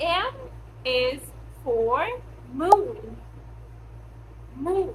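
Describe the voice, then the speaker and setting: Amid noticeable background noise and audible room echo, a woman speaks at an extremely high pitch with very wide pitch swings. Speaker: English teacher. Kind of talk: language lesson. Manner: slow; clear.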